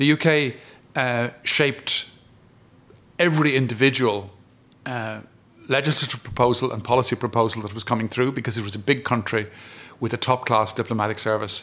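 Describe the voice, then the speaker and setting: The delivery is fairly quick with fairly even intonation and a bright, sharp tone, broken by long, frequent pauses. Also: man, medium pitch for a man. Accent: Irish. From Ireland. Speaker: retired diplomat. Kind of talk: interview. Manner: halting.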